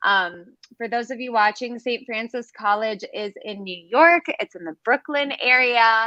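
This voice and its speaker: A woman with an American accent speaks at a fairly slow pace in a bright, sharp tone, her fairly high pitch showing ordinary variation and her loudness swinging widely, with a dry, close sound and no echo. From United States. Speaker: webinar host. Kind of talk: live interview.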